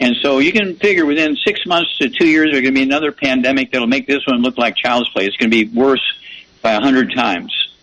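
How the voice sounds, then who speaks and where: A man's fairly high, very fast voice with lively intonation and very even loudness over noticeable background noise. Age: 80s+. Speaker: naturopathic doctor and supplement promoter. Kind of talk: radio interview. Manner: repetitive, halting.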